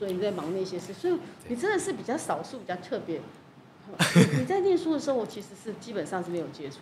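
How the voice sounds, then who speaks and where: A woman's medium-pitched voice at a very fast pace, with very wide pitch swings, big swings in loudness, and long, frequent pauses, over noticeable background noise. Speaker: podcast host. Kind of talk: casual interview.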